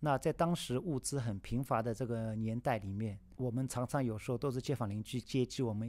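In a very clean recording with a silent background, a man with a plain, everyday voice talks fairly quickly at medium pitch with ordinary pitch variation. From China, Shanghai. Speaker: yangqin musician. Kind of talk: personal storytelling.

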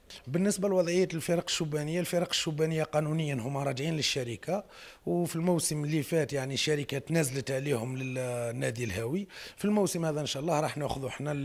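The speech has hardly any pauses. It moves at a fairly quick pace. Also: man, fairly high pitch for a man, ordinary pitch variation. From Algeria. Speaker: football club president. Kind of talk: press statement. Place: hall. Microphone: handheld.

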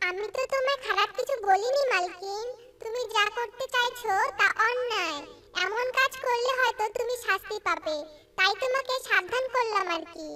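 This is a cartoonish character voice pitched extremely high. It moves at a moderate pace. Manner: gentle, earnest.

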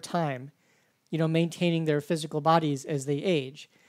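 A man speaks at a moderate pace in a high pitch, on a very clean recording with a silent background. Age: 40s. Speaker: podcast host and university instructor. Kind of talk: interview; podcast intro and outro.

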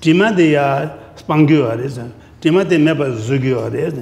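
A man talks at a very fast pace with a fairly high pitch. His pitch variation is ordinary. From Ladakh, India; India. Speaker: Buddhist teacher, monastery abbot; Buddhist teacher. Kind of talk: dharma teaching in Tibetan. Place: hall.

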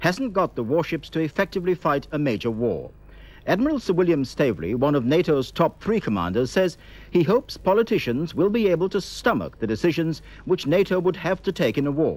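A man talks at a fairly quick pace with very wide pitch swings and vocal fry, the sound dry with no echo. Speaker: newsreader. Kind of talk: news reading. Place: studio.

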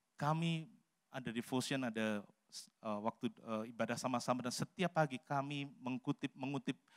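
The background is quiet as a man speaks at a fairly slow pace. His pitch varies in an ordinary way. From Central Java, Salatiga; Central Java, Indonesia. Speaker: pastor; pastor preaching. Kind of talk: sermon. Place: church. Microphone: handheld.

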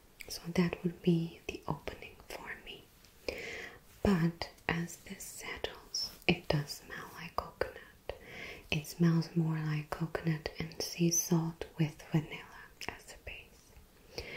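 Whispering at a very slow pace, a woman's voice shows big swings in loudness. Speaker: perfume reviewer. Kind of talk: casual review talk.

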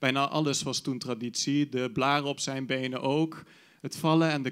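A man at a fairly slow pace, fairly even intonation, quiet background. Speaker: slam poet. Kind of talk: poetry slam performance, spoken word. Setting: stage with audience. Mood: wistful, nostalgic. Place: stage. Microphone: handheld.

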